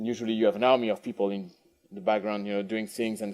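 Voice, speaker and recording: A man with a French accent talks at a very fast pace. His pitch sits in the medium range. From France. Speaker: industry manager giving a conference keynote. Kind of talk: conference keynote. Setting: conference stage with audience. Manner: halting, many fillers and repetitions.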